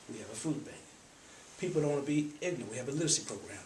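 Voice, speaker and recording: A man speaks at a fairly high pitch with ordinary pitch variation. Noticeable background noise and audible room echo fill the recording. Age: 50s. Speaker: nonprofit trustee. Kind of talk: speech to an audience.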